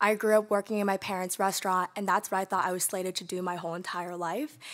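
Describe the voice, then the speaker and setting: A woman talks at a very fast pace. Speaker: engineering student, award recipient. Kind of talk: acceptance speech. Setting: virtual award ceremony.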